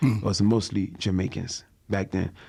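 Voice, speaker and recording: A man talks with a Ghanaian accent. The recording is very clean, with a silent background. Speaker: comedian. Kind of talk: interview answer. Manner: joking, casual.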